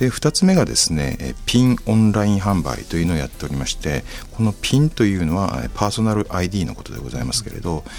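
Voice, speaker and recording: A man speaks fairly quickly with hardly any pauses and very wide pitch swings, against noticeable background noise. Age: 60s. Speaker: company president. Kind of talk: interview. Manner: formal.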